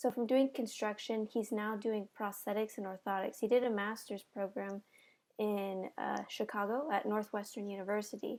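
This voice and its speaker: Recorded very cleanly against a silent background, a woman with a plain, everyday voice talks at a moderate pace, her fairly high pitch carried in fairly even intonation. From US, Mexican-American family. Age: 20s. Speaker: interviewee. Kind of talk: interview. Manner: casual, many fillers.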